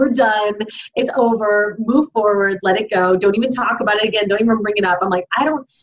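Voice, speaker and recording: Talking at a fairly quick pace with fairly even intonation, a woman has a plain, everyday voice. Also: fairly high pitch for a woman. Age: 40s. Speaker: fitness podcast co-host. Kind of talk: casual chat.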